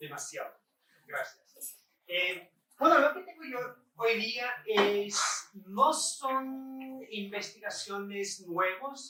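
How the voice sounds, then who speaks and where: A man uses a raised, projected voice at an extremely high pitch, talking very slowly with lively intonation and big swings in loudness. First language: English (speaking Spanish). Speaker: professor. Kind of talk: lecture. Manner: halting.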